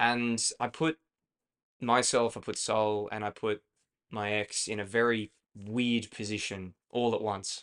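At a fairly slow pace, a man with an Australian accent speaks at medium pitch with fairly even intonation. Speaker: podcast co-host. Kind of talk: casual chat.

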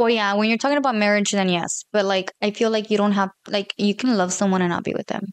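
A woman's medium-pitched voice at a very fast pace with hardly any pauses and fairly even intonation, dry and close with no echo. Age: 20s. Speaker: guest. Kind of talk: casual chat.

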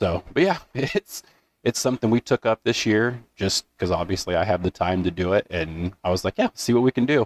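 Using a normal speaking voice, a man at medium pitch talks at a fairly quick pace with lively intonation and very even loudness, recorded with a dry, close sound with no echo. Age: 30s. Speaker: podcast co-host. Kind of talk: casual chat.

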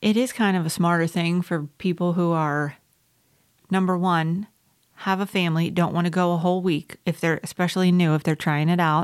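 A woman with an American accent speaks at a moderate pace in a fairly low voice, her intonation fairly even and her loudness very even. It is a plain, everyday voice, recorded very cleanly against a silent background. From South Carolina. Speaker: podcast co-host. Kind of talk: casual chat.

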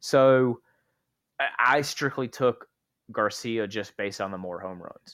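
A man with an American accent, medium pitch, ordinary pitch variation and an unremarkable speaking voice. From North Carolina. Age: 20s. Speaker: sports podcast co-host. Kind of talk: casual chat.

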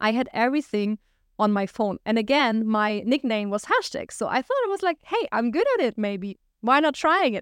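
The sound is dry and close, with no echo. A woman with a German accent talks at a moderate pace and a fairly high pitch, with lively intonation. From Germany, small village. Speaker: entrepreneur and podcast host. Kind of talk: solo monologue, personal story.

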